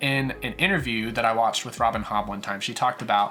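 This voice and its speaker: Music plays in the background. Over it, a man speaks at a medium pitch. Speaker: book reviewer. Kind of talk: casual talk to camera.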